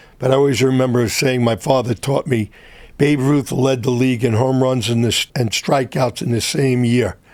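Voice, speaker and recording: A man with a New York accent, medium pitch and fairly even intonation. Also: moderate pace, very even loudness. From New York City (Brooklyn). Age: 70s. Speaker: entrepreneur. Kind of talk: interview. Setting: studio.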